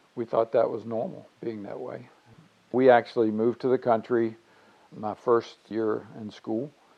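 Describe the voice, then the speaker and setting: At a fairly slow pace, a man with a medium pitch speaks with fairly even intonation, big swings in loudness, and long, frequent pauses. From Virginia, Lexington area. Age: 60s. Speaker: father being interviewed about his life. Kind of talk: life story interview.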